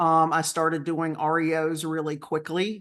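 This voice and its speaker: At a moderate pace, a woman speaks in a Southern US accent with a fairly low pitch. The background is quiet. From North Carolina. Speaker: real estate agent and coach. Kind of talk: webinar presentation.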